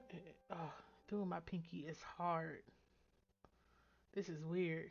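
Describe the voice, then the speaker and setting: A woman talks at a very slow pace in a fairly low pitch, her intonation monotone and flat. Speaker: nail art YouTuber. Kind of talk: tutorial voiceover. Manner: casual, chatty.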